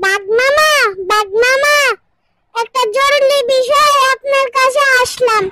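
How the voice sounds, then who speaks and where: A squeaky, cartoonish character voice at an extremely high pitch and a fairly slow pace. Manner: deferential to the tiger.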